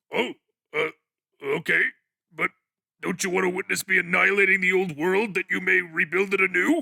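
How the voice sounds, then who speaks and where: Put-on character voice from a man, high-pitched and fairly quick, broken by long, frequent pauses. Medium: fan dub. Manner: eager, servile, grandiose.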